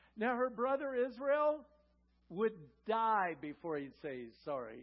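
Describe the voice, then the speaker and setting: A man's high-pitched voice at a fairly slow pace. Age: 60s. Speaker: guest pastor. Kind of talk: sermon. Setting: church with congregation.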